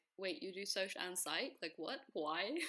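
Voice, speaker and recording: In a British accent, a woman of medium pitch speaks with a bright, sharp tone. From England. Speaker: guest. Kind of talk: casual chat.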